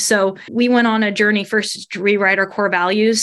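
The voice has an American accent and fairly even intonation. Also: woman. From Northern Kentucky, near Cincinnati. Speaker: graphic designer and marketing lead. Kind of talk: interview conversation.

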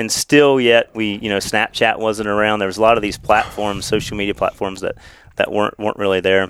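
The speaker has an American accent and a monotone, flat intonation. The pace is fairly quick. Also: man, fairly low pitch for a man. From southeast Ohio, Meigs County. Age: 40s. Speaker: game warden. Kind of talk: casual chat. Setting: outdoors.

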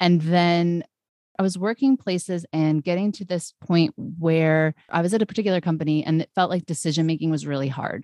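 Recorded with a dry, close sound and no echo, a woman uses a normal speaking voice at a fairly low pitch and a moderate pace. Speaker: brand strategist. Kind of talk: casual interview chat.

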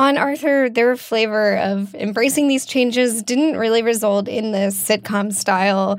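A woman with an unremarkable speaking voice, fairly high in pitch, at a fairly slow pace with ordinary pitch variation, on a very clean recording with a silent background. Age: 20s. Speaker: podcast producer. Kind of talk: conversational storytelling.

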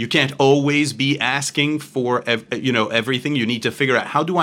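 A man's bright, sharp, medium-pitched voice at a moderate pace, on a very clean recording with a silent background. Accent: slight French. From Belgium. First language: French. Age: 40s. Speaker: finance executive. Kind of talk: interview. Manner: halting, repeats words.

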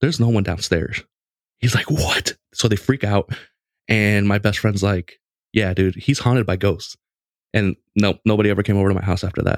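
A man with a normal speaking voice, fairly low in pitch, at a moderate pace with ordinary pitch variation, very even loudness, and a dry, close sound with no echo. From Mexican-American family, US. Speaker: podcast host on gaming. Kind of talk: casual chat, storytelling.

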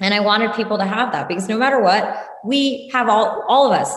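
A woman with an American accent talks at a fairly quick pace. She has a plain, everyday voice. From US Northeast, New Jersey (Randolph). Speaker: entrepreneur. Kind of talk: interview.

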